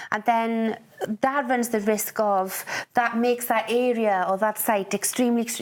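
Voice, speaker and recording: This woman's voice sits fairly high in pitch. She speaks with a Welsh accent. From Wales. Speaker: poet. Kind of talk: radio interview. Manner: halting.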